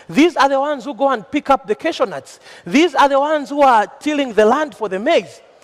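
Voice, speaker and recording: A man speaks at a fairly quick pace with an extremely high pitch over noticeable background noise. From Zambia. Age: young. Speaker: young agribusiness entrepreneur. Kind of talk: panel speech. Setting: conference panel with audience. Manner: formal.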